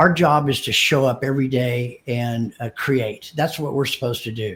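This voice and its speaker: Somewhat breathy, a man speaks at a medium pitch. His pitch varies in an ordinary way. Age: 60s. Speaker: dealership marketing co-founder. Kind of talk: podcast interview. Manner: halting, repetitive.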